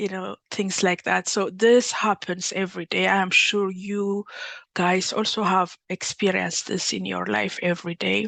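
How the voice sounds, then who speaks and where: In an Ethiopian accent, a woman speaks at a moderate pace. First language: Amharic. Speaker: workshop facilitator, PhD candidate. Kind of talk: workshop presentation. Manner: halting, many fillers and restarts.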